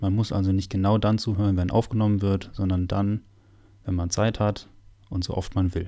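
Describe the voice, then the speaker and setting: On a very clean recording with a silent background, a man speaks at a moderate pace with fairly low pitch. His tone is dark and mellow, his intonation monotone and flat. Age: 20s. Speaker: parish podcast host and altar server. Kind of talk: semi-scripted parish podcast conversation. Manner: formal.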